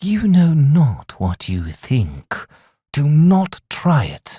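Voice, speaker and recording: A man's put-on character voice, fairly high in pitch and very slow. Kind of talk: archaic fantasy speech. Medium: read story. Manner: formal, archaic phrasing.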